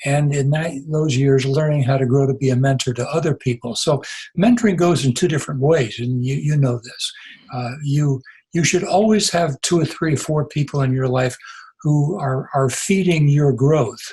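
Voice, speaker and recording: A man talks at a moderate pace with a fairly high pitch and ordinary pitch variation. His voice is somewhat breathy, with a dark, mellow tone. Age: 80s+. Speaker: retired pastor and author. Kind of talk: interview conversation. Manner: halting, with repetitions.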